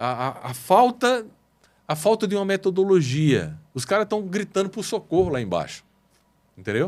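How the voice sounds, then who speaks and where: Pitched high, a man talks at a moderate pace with very wide swings in pitch. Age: 60s. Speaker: business consultant in motorcycle parts retail. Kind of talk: podcast interview.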